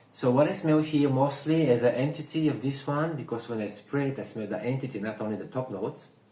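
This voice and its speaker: Hardly pausing at all, a man with a fairly high pitch speeds through his words at a very fast pace over noticeable background noise. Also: ordinary pitch variation. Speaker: perfume reviewer. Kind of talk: casual review chat. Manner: whispering.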